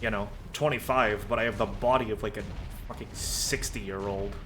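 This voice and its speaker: With music in the background and audible room echo, a man talks at a moderate pace in a medium pitch, with ordinary pitch variation and an animated tone. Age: 20s. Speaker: vtuber streamer. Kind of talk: casual chat while gaming. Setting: live stream.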